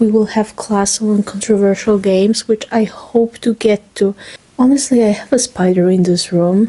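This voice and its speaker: Speaking with a non-native accent, a woman has a dark, mellow tone at a fairly high pitch. Her pace is moderate, her intonation fairly even and her loudness very even. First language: not English. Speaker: student vlogger. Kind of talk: casual vlog monologue.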